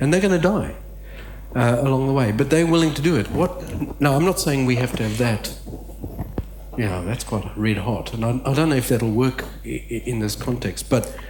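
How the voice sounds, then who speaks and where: Noticeable background noise and audible room echo surround a man talking at a fairly quick pace. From Southern Africa, then Australia. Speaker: conference speaker, missional theologian. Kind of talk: conference talk. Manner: halting, many fillers.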